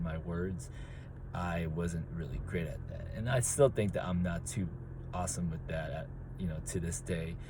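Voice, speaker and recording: Mumbled, somewhat breathy speech with ordinary pitch variation and audible room echo. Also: man. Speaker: track and field coach. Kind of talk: casual monologue. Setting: in a car. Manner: mumbling; hesitant, many fillers.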